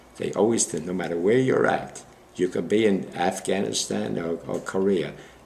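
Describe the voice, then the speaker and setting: A man with an American accent at a moderate pace, amid noticeable background noise. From Brooklyn, New York. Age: 90s. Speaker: war veteran. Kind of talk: oral history interview. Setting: library interview. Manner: halting.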